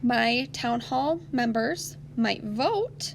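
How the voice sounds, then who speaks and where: Noticeable background noise accompanies a woman whose fairly high voice swings very widely in pitch. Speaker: elementary school teacher. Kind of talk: online lesson for children.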